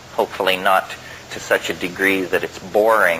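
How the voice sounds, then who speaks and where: With fairly even intonation, a man's voice carries through noticeable background noise. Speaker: lecturer, philosopher. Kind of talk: lecture to an audience.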